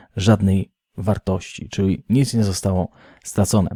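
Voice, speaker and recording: A man's voice, fairly low in pitch, comes across somewhat breathy with a dark, mellow tone. The recording is very clean with a silent background, and the sound is dry and close with no echo. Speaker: crypto news youtuber. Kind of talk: daily news show with chat reading.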